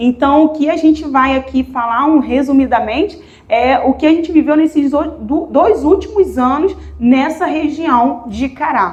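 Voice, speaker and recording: A woman talks at a fairly slow pace in a Rio de Janeiro accent. Her pitch is high, with ordinary variation. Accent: noticeable Rio de Janeiro. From Rio de Janeiro, Brazil. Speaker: missionary. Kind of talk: missionary presentation in church.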